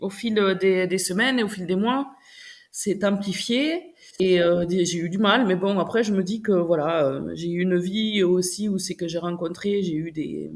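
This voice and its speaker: Medium-pitched female voice with a southwestern French accent, at a fairly slow pace. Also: ordinary pitch variation, very clean recording, silent background. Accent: southwestern French, sibilant. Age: 40s. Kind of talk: interview answer. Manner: enthusiastic.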